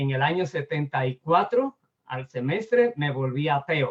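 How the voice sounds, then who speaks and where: A plain, everyday voice at a fairly slow pace. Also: man. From Dominican Republic. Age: 60s. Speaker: pastor and lecturer. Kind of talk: personal testimony.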